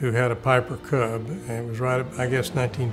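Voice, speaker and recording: Music plays in the background as a man speaks with a Texan accent at a moderate pace. His pitch is medium and his intonation fairly even. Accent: Texas Southern American. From Texas, Waco. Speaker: pilot recalling his life. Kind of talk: oral history interview. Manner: halting.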